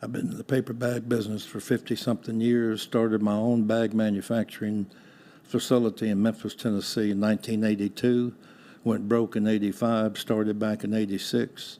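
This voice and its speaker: In a Texan accent, a man with a fairly low pitch and a dark, mellow tone talks at a fairly quick pace in a monotone, flat intonation. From Texas (Houston). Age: 80s+. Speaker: retired business owner. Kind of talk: interview.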